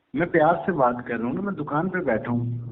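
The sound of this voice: With audible room echo around him, a man speaks in a fairly high pitch. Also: ordinary pitch variation, fairly quick pace.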